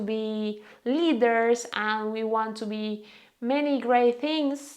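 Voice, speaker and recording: Speaking with a Venezuelan accent, a woman has a fairly high pitch and ordinary pitch variation. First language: Spanish. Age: 20s. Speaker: lifestyle vlogger. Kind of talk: casual vlog talk. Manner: halting.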